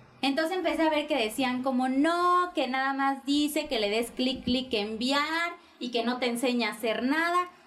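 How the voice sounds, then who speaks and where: A woman speaks in a high pitch at a very even loudness. Noticeable background noise is present. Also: ordinary pitch variation, moderate pace. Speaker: office worker and social media creator. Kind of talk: casual interview chat.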